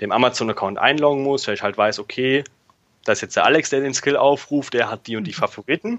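This man has an unremarkable speaking voice. He keeps a moderate pace with ordinary pitch variation. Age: 20s. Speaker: software developer. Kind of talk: interview.

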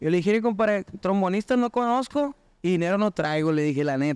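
At a fairly quick pace, a man speaks in a high pitch with lively intonation. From Chihuahua, northern Mexico. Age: 30s. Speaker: musician. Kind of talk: casual chat.

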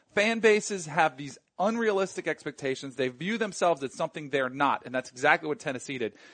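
Talking very fast with hardly any pauses, a man uses an animated tone, recorded in a dry, close sound with no echo. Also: fairly high pitch for a man, lively intonation. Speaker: sports podcast co-host. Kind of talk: casual chat.

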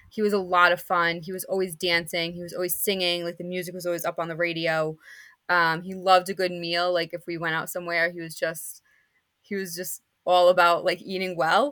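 A woman's fairly low, bright and sharp voice in flat, monotone intonation at a fairly quick pace, on a very clean recording with a silent background. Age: 30s. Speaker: special education teacher. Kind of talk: interview about her father's unsolved murder.

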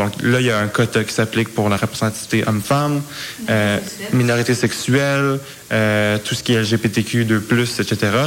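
A man's medium-pitched voice at a moderate pace with fairly even intonation, against noticeable background noise. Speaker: youth parliament organizer. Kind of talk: interview.

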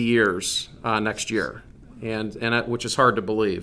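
A man's bright, sharp voice at medium pitch. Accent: Midwestern American. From Northeast Indiana. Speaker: business executive. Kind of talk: interview.

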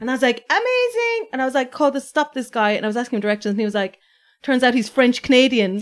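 In a very clean recording with a silent background, a woman with an Irish accent speaks at a very fast pace in a high pitch with lively intonation. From Ireland, Waterford. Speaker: food blogger and writer. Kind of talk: casual chat.

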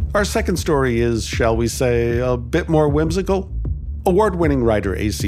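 Music plays behind a man talking at a moderate pace. His pitch swings very widely. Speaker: podcast host. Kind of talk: scripted introduction. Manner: warm, upbeat, lightly humorous.

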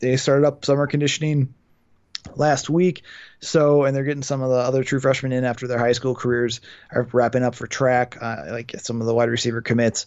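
A fairly high-pitched man with a Wisconsin accent at a moderate pace. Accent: Upper Midwest (Wisconsin). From Milwaukee, Wisconsin. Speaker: college football writer. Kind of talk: casual sports chat.

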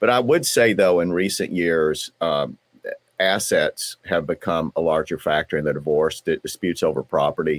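A speaker talks with a Southern US accent at a moderate pace. The sound is dry and close with no echo. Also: man. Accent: Southern twang. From US South, southeastern Kentucky. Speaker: divorce lawyer. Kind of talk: interview. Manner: halting, repeats words.

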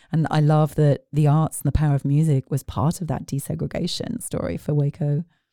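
With a British accent, a woman with a very deep, low pitch and a dark, mellow tone speaks at a fairly quick pace with hardly any pauses, in a very clean recording with a silent background. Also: fairly even intonation, dry, close sound with no echo. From United Kingdom. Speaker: arts organization executive. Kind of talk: casual interview.

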